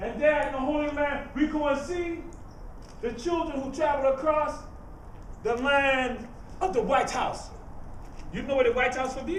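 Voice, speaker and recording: In a Geechee accent, the speaker talks at a moderate pace with fairly even intonation and long, frequent pauses. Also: man. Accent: Geechee Gullah inflected Southern US English. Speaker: griot, living historian. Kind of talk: storytelling performance to a live audience.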